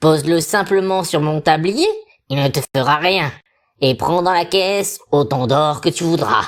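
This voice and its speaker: A put-on character voice at a middle pitch and moderate pace, on a very clean recording with a silent background. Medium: read story. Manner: wheedling and secretive.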